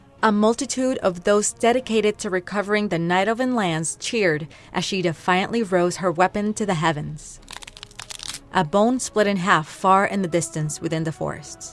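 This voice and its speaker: A woman's medium-pitched voice is heard with noticeable background noise behind it. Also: ordinary pitch variation, moderate pace. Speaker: fan fiction storyteller. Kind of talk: story narration.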